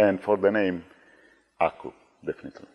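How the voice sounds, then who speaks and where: A man with an Italian accent, fairly low in pitch, in a dry, close sound with no echo. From Italy. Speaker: former conference chair. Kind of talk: casual chat.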